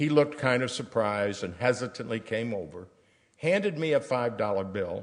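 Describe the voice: The text is read aloud plainly, yet with lively intonation.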